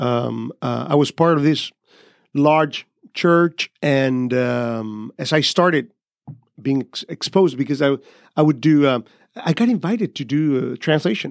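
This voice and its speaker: A man with a Honduran accent speaks fairly slowly at a fairly high pitch, in a dry, close recording with no echo that is very clean against a silent background. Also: ordinary pitch variation. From Honduras, Tegucigalpa. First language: Spanish. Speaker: pastor and missionary. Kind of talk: interview. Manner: halting, hesitant, repeats words.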